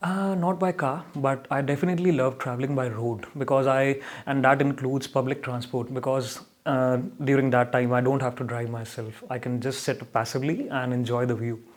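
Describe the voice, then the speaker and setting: A man with an Indian accent at a fairly quick pace. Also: medium pitch for a man, ordinary pitch variation. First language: not English. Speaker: speaking test candidate.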